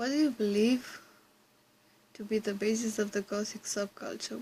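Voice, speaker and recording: A woman whispers at a fairly slow pace. Her voice is somewhat breathy. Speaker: vlogger. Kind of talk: casual Q&A vlog. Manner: whispering.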